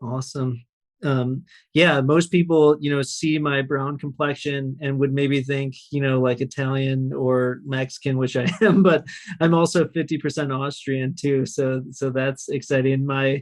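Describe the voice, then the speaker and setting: At a fairly slow pace, a man with an unremarkable speaking voice talks in a fairly high pitch with fairly even intonation. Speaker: podcast host. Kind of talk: podcast interview.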